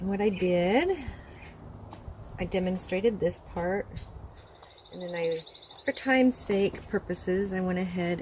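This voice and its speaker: A soft-spoken voice moves at a fairly slow pace over noticeable background noise. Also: woman. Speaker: crafter / art tutorial creator. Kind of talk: tutorial. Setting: outdoors. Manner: animated.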